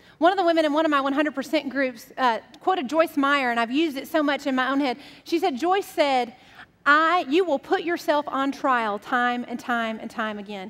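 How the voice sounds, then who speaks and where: Her pitch is high, with ordinary pitch variation. The woman speaks at a moderate pace. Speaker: pastor. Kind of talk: sermon. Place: church. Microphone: headset.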